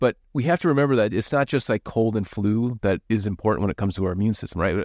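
Ordinary pitch variation in an Upper Midwest accent, dry and close with no echo, over a quiet background. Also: man. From Minnesota, US. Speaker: physician podcast host. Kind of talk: casual educational chat.

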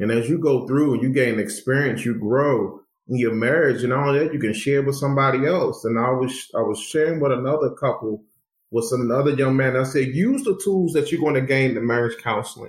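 With audible room echo around him, a man speaks at a medium pitch in a somewhat breathy voice, keeping his loudness very even. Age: 40s. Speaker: youth pastor and university administrator. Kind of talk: casual interview.

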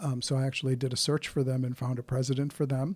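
A man speaks very fast in a somewhat breathy voice with monotone, flat intonation. The recording is very clean, with a silent background. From India, moved to South Dakota at eleven. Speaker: business consultant, former corporate executive. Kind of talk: interview. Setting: studio.

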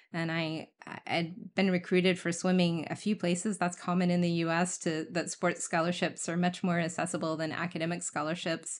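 Over a quiet background, a woman with a fairly low pitch speaks at a moderate pace in a monotone, flat intonation with hardly any pauses. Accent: American. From US Midwest (rural Indiana). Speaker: former military officer and engineer. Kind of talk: interview conversation.

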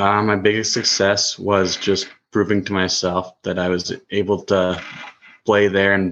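A very deep, low-pitched man talks at a fairly slow pace. His intonation is monotone and flat, and the background is quiet. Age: 20s. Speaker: junior hockey goaltender. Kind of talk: podcast interview. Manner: hesitant, many ums.

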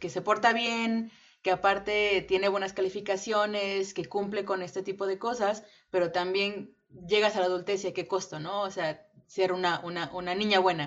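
A woman's plain, everyday voice at a medium pitch and a moderate pace. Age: 20s. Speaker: podcast co-host, English teacher. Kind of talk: casual chat.

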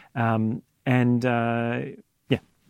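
Against a quiet background, a man with a medium pitch and an Australian accent speaks in a dry, close sound with no echo. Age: 30s. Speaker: audio engineer and studio owner. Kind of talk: casual interview. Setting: recording studio. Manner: halting, many fillers.

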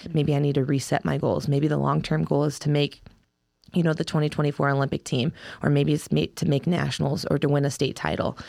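A woman speaks at a very fast pace with vocal fry and very deep, low pitch. Her intonation is fairly even, her loudness very even, and the recording very clean with a silent background. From Ohio, US Midwest. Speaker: wrestler. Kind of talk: interview.

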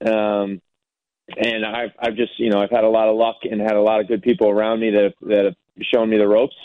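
The speaker has an American accent and talks at a fairly quick pace. The intonation is monotone and flat. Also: man, fairly low pitch for a man. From US East Coast. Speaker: soccer technical director, former player. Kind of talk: interview. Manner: hesitant, many fillers.

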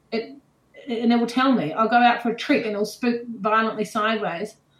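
The speaker has a New Zealand accent. The pace is fairly quick, with fairly even intonation. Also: woman. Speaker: show jumper and horse trainer. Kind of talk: casual interview chat.

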